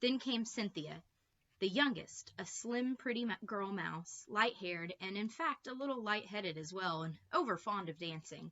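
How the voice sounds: Speaking at a fairly slow pace, a woman with medium pitch has lively intonation and a fairly bright tone.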